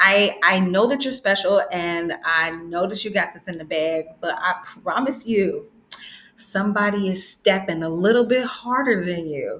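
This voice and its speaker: A woman's upbeat, animated voice at a medium pitch and a fairly slow pace, with ordinary pitch variation and big swings in loudness. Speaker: branding educator, video creator. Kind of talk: tutorial.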